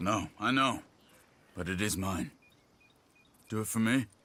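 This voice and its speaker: A man does a put-on character voice at a fairly low pitch. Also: moderate pace. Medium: video game.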